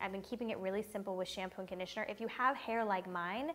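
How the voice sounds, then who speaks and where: Very rapid delivery with normal pitch movement over clearly audible background noise. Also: woman. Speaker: beauty vlogger. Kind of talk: casual chat. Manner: soft-spoken.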